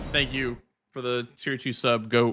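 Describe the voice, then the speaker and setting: Music plays in the background as a man speaks at a fairly slow pace with an American accent. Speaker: video game streamer. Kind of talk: casual live-stream commentary. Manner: casual, animated.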